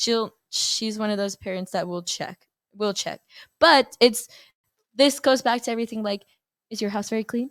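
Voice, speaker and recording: A woman with a Mexican accent and a fairly high pitch, at a moderate pace with long, frequent pauses and ordinary pitch variation, in a dry, close sound with no echo on a very clean recording with a silent background. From Texas, El Paso. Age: 20s. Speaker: college softball player. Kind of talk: casual chat interview.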